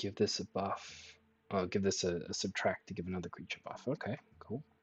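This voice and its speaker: A man with an Australian accent, fairly low pitch, ordinary pitch variation, somewhat breathy delivery, fairly quick pace, and a dry, close sound with no echo. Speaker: streamer and card game player. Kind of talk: casual chat with gameplay commentary.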